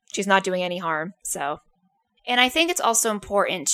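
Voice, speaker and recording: On a very clean recording with a silent background, a woman of medium pitch speaks in a bright, sharp tone. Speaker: podcast host. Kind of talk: casual chat.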